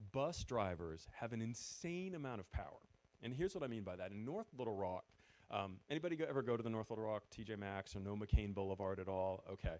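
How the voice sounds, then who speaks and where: A man with a New England accent speaks at a very fast pace in a fairly low voice with lively intonation. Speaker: former retail store manager, event speaker. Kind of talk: presentation to audience.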